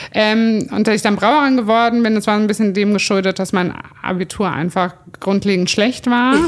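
A woman's plain, everyday voice at a moderate pace, with very even loudness. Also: fairly high pitch for a woman, ordinary pitch variation. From Cologne, Germany. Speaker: brewery owner. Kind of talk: casual chat. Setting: brewpub, on location.

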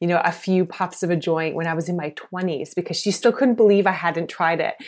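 A woman with an American accent speaks at a fairly quick pace in an ordinary speaking voice, her pitch fairly low with ordinary variation. The recording is very clean, with a silent background. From US South, South Carolina. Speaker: medical doctor. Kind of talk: interview.

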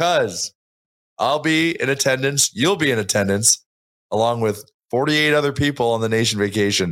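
Loud and with lively intonation, a man speaks. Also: medium pitch for a man, moderate pace. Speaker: hockey co-host. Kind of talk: casual sports talk show. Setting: studio. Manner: loud talker.

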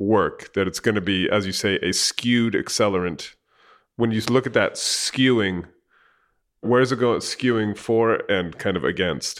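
A man with an unremarkable speaking voice talks at a fairly slow pace, with medium pitch and ordinary pitch variation. The recording is very clean, with a silent background. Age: 40s. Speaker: tech journalist and podcast host. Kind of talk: interview. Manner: casual.

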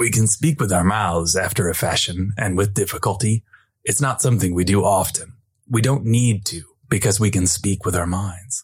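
A man puts on a character voice, rumbling and fairly low in pitch, at a moderate pace. The recording is very clean, with a silent background. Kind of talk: formal.

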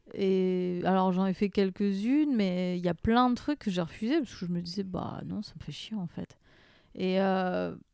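A woman with an ordinary speaking voice, medium pitch and ordinary variation, at a moderate pace, in a very clean recording with a silent background. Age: 30s. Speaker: actress and content creator. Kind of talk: casual chat.

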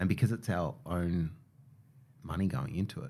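The man has a very deep, low voice with a dark, mellow tone and very wide pitch swings. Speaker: hair care brand co-founder. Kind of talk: interview.

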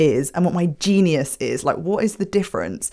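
On a very clean recording with a silent background, a woman with a fairly low pitch speaks at a moderate pace with lively intonation. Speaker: podcast host and business coach. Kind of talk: interview. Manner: pleasant modulation.

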